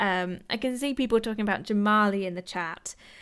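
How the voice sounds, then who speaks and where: This woman speaks at a medium pitch. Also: very clean recording, silent background. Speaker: YouTube commentator discussing a TV show. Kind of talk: livestream chat reading viewer comments. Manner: slurring words at times; casual, many fillers.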